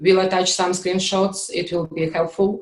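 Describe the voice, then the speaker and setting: A woman with a Russian accent speaks at medium pitch and a moderate pace. Her intonation is monotone and flat. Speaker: QA instructor. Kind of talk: online class session. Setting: video call with screen share. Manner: hesitant, many fillers.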